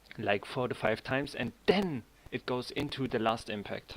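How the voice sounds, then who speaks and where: A man with a German accent talks at a fairly slow pace. His pitch variation is ordinary. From Germany. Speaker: 3D animator streamer. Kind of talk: live stream tutorial chat. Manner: halting.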